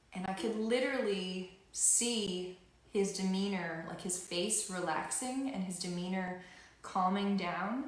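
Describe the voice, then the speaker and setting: Audible room echo and noticeable background noise surround a woman with an American accent and ordinary pitch variation. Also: medium pitch for a woman, fairly slow pace. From Louisiana. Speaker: singer and ukulele musician. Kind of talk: live-stream performance chat and storytelling. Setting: home office, live stream. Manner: halting.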